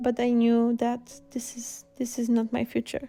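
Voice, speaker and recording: A woman with a Slavic accent and a fairly high pitch. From Poland. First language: Polish. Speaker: illustrator and art teacher. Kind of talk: painting tutorial with personal introduction.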